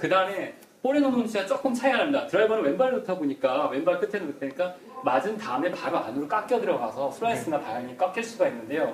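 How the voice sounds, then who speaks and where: Over noticeable background noise, a man with a high pitch talks at a very fast pace, his pitch swinging very widely. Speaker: golf instructor. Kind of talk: instructional chat.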